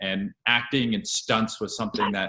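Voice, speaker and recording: Here a man speaks at a medium pitch. His tone is bright and sharp. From grew up all over, mostly abroad and US. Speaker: actor and writer. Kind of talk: interview.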